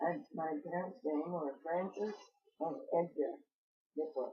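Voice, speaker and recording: This woman's voice is somewhat breathy. Her intonation stays lively. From southern Illinois (Palestine, from age 3). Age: 80s+. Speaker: local elder interviewee. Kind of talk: oral history interview. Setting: in her home. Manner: halting, many hesitations.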